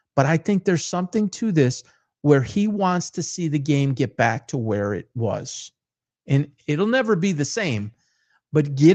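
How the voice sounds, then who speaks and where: An American accent with very wide pitch swings and a dry, close sound with no echo. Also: man, quiet background. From Detroit, Michigan, US. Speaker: sports talk host. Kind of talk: casual sports commentary monologue.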